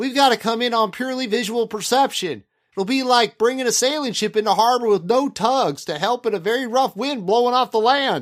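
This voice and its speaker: In a very clean recording with a silent background, a man uses an extremely high put-on character voice at a fairly quick pace with hardly any pauses. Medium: audio drama. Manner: terse, practical.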